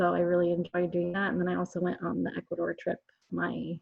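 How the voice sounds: A woman's fairly low voice with vocal fry and a slightly husky edge, at a moderate pace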